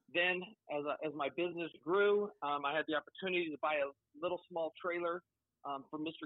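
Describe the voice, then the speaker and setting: A man with an American accent talks at a fairly quick pace in a fairly high voice. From Colorado, Pueblo. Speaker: hat maker and business owner. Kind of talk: casual interview.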